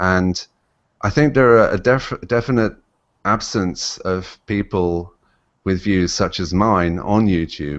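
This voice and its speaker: Speaking very slowly with an English accent, a man uses a very deep, low pitch with ordinary pitch variation. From England. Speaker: YouTube commentator. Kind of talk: interview. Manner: halting, many fillers.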